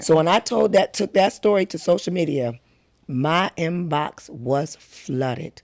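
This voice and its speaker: Speaking at a fairly slow pace, a woman uses lively intonation in a fairly low voice. The recording is very clean, with a silent background. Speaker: advocate sharing personal health story. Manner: loud.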